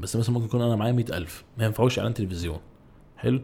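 This man's voice has a dark, mellow tone and is somewhat breathy. His intonation stays fairly even. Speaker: YouTuber and ad director. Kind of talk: casual chat. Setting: podcast studio.

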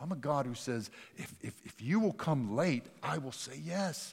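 A man speaks with very wide pitch swings. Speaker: pastor. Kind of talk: sermon. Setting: church.

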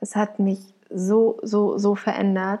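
Somewhat breathy, the woman's voice carries a warm tone that is also dark and mellow. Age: 20s. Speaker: podcaster sharing her anxiety disorder story. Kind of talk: personal monologue, podcast intro. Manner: unscripted, spontaneous with fillers; warm, emotional.

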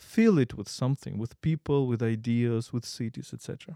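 Moderate pace, ordinary pitch variation and a dark, mellow tone with a Ukrainian accent, in a dry, close, echo-free recording over a silent, very clean background. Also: man. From Ukraine. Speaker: podcast host, philosopher. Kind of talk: interview.

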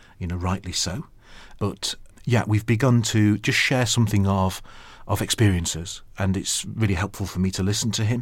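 A somewhat breathy man with a Yorkshire accent, fairly low in pitch, ordinary pitch variation, a fairly quick pace, on a very clean recording with a silent background. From Yorkshire, northern England (Sheffield). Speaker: archbishop. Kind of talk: interview.

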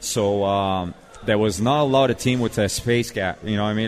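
At a moderate pace, a man talks with fairly low pitch and fairly even intonation. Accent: Quebec. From Quebec, Montreal. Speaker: former ice hockey player and youth coach. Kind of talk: casual interview. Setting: live show at a restaurant with audience. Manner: many fillers.

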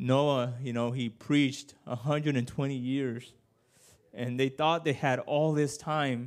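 A man at medium pitch, with an American accent, at a very slow pace. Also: very clean recording, silent background. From Washington State, Yakima Valley. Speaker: preacher. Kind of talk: sermon. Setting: church. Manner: halting.

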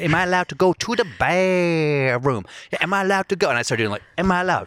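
A man speaks very fast with a Southern US accent and lively intonation. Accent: natural southern. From Virginia, US. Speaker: comedian, podcast host. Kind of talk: casual chat.

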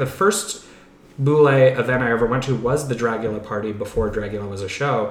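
With noticeable background noise and audible room echo, a man speaks at medium pitch. His pitch varies in an ordinary way. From moved around US; teen years in western Pennsylvania. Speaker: horror and TV movie screenwriter. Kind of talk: casual chat.

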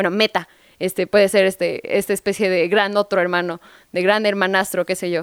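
Her sound dry and close with no echo, a woman uses an unremarkable speaking voice at medium pitch with fairly even intonation. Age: 20s. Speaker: radio host. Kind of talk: casual chat.

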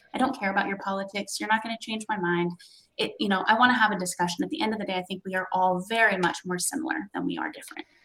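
Speaking at a very fast pace, a woman uses a medium pitch and ordinary pitch variation. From US West Coast. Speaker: social media marketer in promotional products. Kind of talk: panel discussion. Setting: video call.

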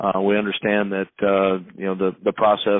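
At a moderate pace, a man talks in a fairly low voice with an American accent. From Missouri. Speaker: college football head coach. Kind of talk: interview.

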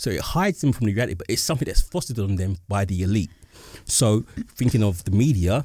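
A man's very fast, somewhat breathy voice with a fairly low pitch, a dark, mellow tone and lively intonation, in a dry, close sound with no echo. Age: 40s. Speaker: podcast host. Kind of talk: casual chat.

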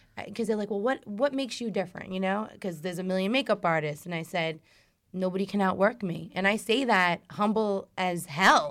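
With an American accent and a normal speaking voice, a woman talks at a fairly quick pace with a medium pitch and ordinary pitch variation in a very clean recording with a silent background. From New York. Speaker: makeup artist and author. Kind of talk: casual chat.

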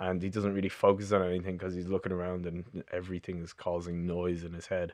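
Against a quiet background, the speaker talks at a fairly quick pace in a Dublin accent with monotone, flat intonation. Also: man. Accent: Dublin Irish. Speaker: bass player and composer. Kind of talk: casual chat. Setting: studio.

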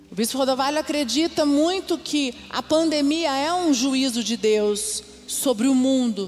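Her pitch is high and her intonation lively as this woman speaks at a fairly slow pace. Noticeable background noise runs underneath. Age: 40s. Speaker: pastor. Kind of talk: sermon. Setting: church.

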